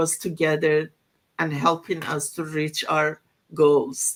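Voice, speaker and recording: A woman with a non-native accent, speaking at a very slow pace. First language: not English. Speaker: online business community member. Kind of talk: casual group discussion. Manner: halting.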